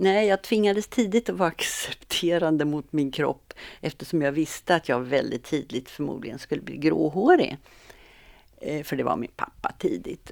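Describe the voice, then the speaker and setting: Lively in intonation, a woman with a very deep, low voice and vocal fry speaks at a moderate pace on a very clean recording with a silent background. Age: 70s. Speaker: retired physiotherapist and meditation leader. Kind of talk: casual interview.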